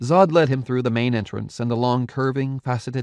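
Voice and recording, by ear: Fairly even intonation while reading aloud in a natural voice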